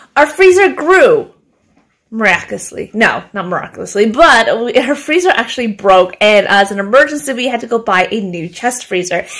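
The background stays quiet. A woman speaks at a moderate pace. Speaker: home vlogger. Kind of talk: casual vlog chat. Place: kitchen. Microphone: phone near.

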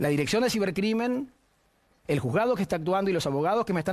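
A man in a Rioplatense accent speaks with lively intonation against a quiet background. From Argentina. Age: 40s. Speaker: TV panelist. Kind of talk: personal statement. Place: studio. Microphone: lapel.

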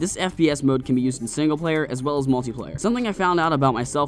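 A man's voice with ordinary pitch variation, music playing in the background. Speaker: video game reviewer. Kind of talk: game review narration.

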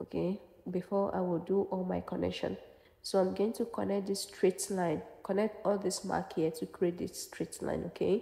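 With vocal fry and a dark, mellow tone, a woman speaks at a medium pitch and a moderate pace, her intonation fairly even. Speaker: sewing pattern instructor. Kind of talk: tutorial.

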